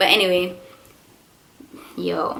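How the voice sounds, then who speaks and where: The woman's pitch is medium and her pace very slow. Audible echo fills the room. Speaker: vlogger. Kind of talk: storytime vlog. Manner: animated.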